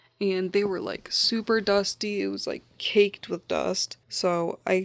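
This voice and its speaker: In a Midwestern accent, a woman speaks with monotone, flat intonation in a very clean recording with a silent background. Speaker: doll collector YouTuber. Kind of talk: casual vlog talk to camera. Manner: casual, lots of filler like.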